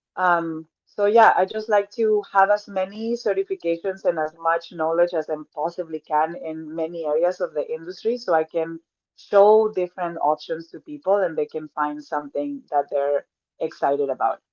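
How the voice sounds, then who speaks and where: In a Spanish accent, a woman talks at a moderate pace, and the sound is dry and close with no echo. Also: fairly low pitch for a woman, ordinary pitch variation. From Mexico. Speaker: personal trainer. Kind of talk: podcast interview.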